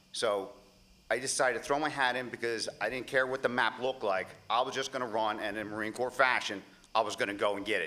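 A man talks very fast while his intonation stays fairly level. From Pennsylvania. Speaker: congressional candidate; candidate. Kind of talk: political debate. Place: stage. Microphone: podium.

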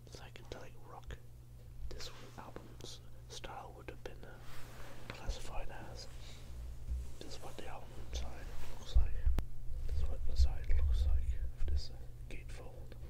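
Loud background noise surrounds a man whispering with long, frequent pauses. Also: moderate pace. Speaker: record collector. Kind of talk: ASMR show and tell of a vinyl record, describing the album. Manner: whispered. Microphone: phone near.

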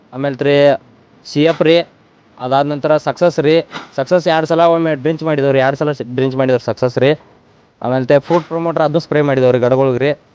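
A man has an unremarkable speaking voice, fairly high in pitch with fairly even intonation. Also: very even loudness. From India, northern Karnataka (Belagavi district). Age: young. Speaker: farmer. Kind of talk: interview.

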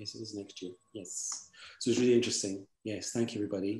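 Over audible room echo, a man speaks at a fairly low pitch. His intonation is monotone and flat, and his voice somewhat breathy. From Scotland. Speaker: event organizer. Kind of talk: event hosting. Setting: video call. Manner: warm. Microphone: video call.

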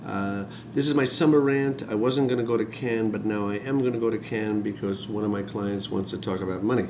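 Over noticeable background noise, a man with a fairly low pitch speaks very fast, his pitch varying in an ordinary way. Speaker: industry executive and video blogger. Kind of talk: ranting video blog monologue, grumbling and wisecracking. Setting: self-recorded video to camera. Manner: rambling, gruff and self-mocking, bitter about getting old; fast, talkative, with blunt sarcastic complaints. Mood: wry, joking, animated. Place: home room. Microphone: webcam.

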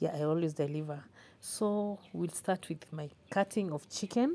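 A woman's voice with a dark, mellow tone and a fairly low pitch. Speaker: home cook vlogger. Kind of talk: casual vlog chat. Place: kitchen. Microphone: phone near.

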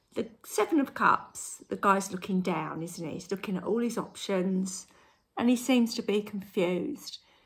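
A woman talks at a moderate pace and medium pitch. Her voice is somewhat breathy, with ordinary pitch variation. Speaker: tarot reader. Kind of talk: tarot reading to camera. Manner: conversational.

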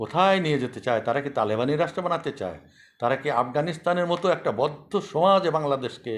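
On a very clean recording with a silent background, this man's pitch swings very widely. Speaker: war veteran. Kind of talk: monologue commentary.

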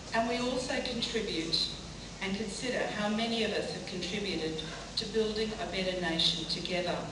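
Amid noticeable background noise and audible room echo, a woman talks at a moderate pace with ordinary pitch variation. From Australia. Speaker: politician. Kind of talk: ceremonial speech. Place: hall.

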